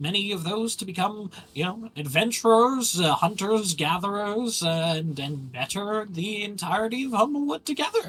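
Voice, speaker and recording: A put-on character voice of fairly high pitch runs at a moderate pace with hardly any pauses. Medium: actual play. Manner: hesitant, full of filler words.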